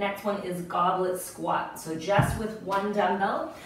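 Someone speaks at a fairly slow pace amid noticeable background noise and audible room echo. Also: woman. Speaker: fitness instructor. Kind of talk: workout class cueing. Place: home room.

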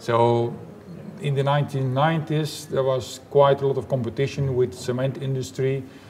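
A man at a fairly slow pace with fairly even intonation, light background noise behind him. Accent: Dutch. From Belgium, Flanders. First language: Dutch. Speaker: engineering professor; guest. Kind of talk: interview; interview answer. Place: hall.

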